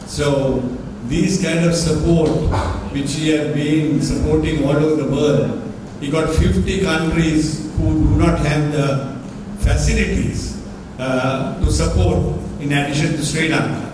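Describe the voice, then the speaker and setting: A man with a fairly high pitch and ordinary pitch variation speaks amid noticeable background noise and strong room echo. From Sri Lanka. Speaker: national boxing association president. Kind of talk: press conference. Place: hall. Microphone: podium.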